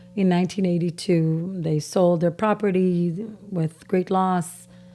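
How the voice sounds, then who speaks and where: With music in the background, a woman with a fairly low voice speaks at a fairly slow pace, with monotone, flat intonation and very even loudness. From Israel. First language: Farsi. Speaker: interviewee, Israeli army veteran. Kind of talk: interview testimony.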